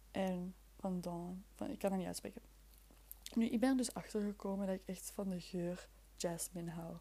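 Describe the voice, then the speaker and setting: Somewhat breathy, with a dark, mellow tone, a woman speaks with a Flemish accent. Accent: Flemish Dutch. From Flemish Brabant, Belgium (near Leuven). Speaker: podcast host. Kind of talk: casual solo chat. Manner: chaotic, halting.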